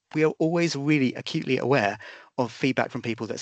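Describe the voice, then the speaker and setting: Here a man talks at a very fast pace. The background is quiet. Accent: British. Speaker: policing oversight body representative. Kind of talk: webinar presentation.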